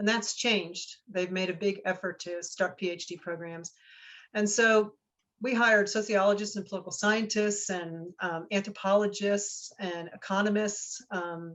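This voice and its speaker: Delivered at a moderate pace, the speech has fairly even intonation and a Northeastern US accent. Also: woman, medium pitch for a woman. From New Jersey. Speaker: research center director. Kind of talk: guest talk Q&A.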